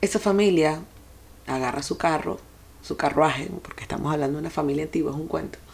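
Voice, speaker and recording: Using an unremarkable speaking voice, a woman talks at a fairly quick pace with a fairly low pitch and ordinary pitch variation. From Venezuela. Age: 40s. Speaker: podcast host, life and sex coach. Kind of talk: personal monologue.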